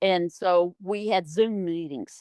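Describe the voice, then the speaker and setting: The recording is very clean with a silent background, and the woman on it talks at a fairly slow pace. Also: dry, close sound with no echo. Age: 60s. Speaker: patient. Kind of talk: testimony. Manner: halting.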